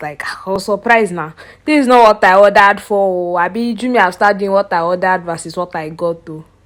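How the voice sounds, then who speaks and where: A woman with a Nigerian accent speaks at a moderate pace and medium pitch in an animated tone with ordinary pitch variation, on a very clean recording with a silent background. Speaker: vlogger. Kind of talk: casual vlog talk.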